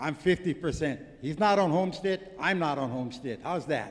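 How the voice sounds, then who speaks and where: The pace is moderate as this man talks. He uses lively intonation. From Hawaii. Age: 70s. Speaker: artist and activist. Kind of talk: conference speech. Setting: conference with audience. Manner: animated.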